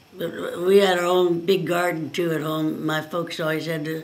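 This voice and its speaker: A woman with an American accent at a moderate pace and fairly low pitch, amid noticeable background noise. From rural Oregon. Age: old. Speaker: retired farm woman. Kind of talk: interview answer, life story. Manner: halting, conversational.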